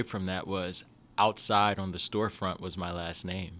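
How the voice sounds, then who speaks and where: A man with an American accent, fairly low-pitched, bright and sharp in tone, at a moderate pace on a very clean recording with a silent background. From US South, Jackson, Mississippi. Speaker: education entrepreneur, CEO. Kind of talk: podcast interview. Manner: casual, with fillers and restarts.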